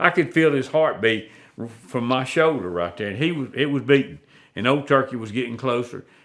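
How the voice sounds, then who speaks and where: Sounding bright and sharp, a man talks with an Alabama accent. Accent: southern US (Alabama). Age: 70s. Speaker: turkey hunter and call maker. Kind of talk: storytelling in a casual interview. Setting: at his home.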